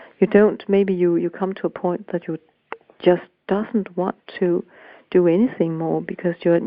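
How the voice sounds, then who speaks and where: In a Danish accent, a woman speaks fairly slowly in a fairly low, flat, monotone voice. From Denmark. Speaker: voice coach and author. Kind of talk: interview. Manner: halting.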